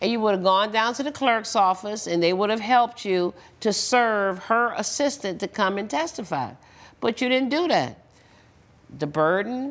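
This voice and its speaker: The voice moves at a moderate pace with lively intonation. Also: woman. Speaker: TV judge. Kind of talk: courtroom ruling to litigant. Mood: stern, lecturing. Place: studio. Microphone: lapel.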